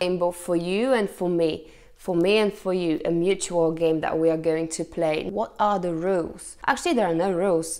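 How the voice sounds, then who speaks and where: Over music in the background, a woman with a fairly low pitch speaks at a moderate pace with hardly any pauses. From Poland. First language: Polish. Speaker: YouTuber, language-learning vlogger. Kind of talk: casual vlog to camera. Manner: animated.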